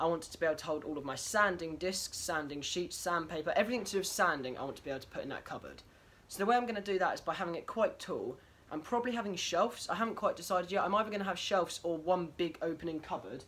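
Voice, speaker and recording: A man talks at a very fast pace in a high pitch with ordinary pitch variation. His loudness swings a lot. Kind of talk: casual vlog chat. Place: workshop. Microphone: phone near.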